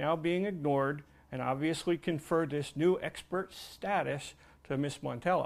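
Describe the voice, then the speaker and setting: In an unremarkable speaking voice, a man talks at a moderate pace with a fairly high pitch and ordinary pitch variation, on a very clean recording with a silent background. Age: 60s. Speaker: retired commercial diver and tugboat museum owner. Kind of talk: testimony. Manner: formal.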